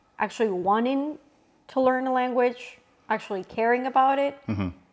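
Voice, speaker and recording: With a Spanish accent, a woman talks at a moderate pace, her fairly high pitch showing ordinary variation. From northern Mexico. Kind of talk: interview answer.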